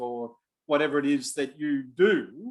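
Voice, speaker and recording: An Australian accent marks this man's fairly high-pitched voice. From Australia (Melbourne). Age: 60s. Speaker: business adviser. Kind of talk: online talk.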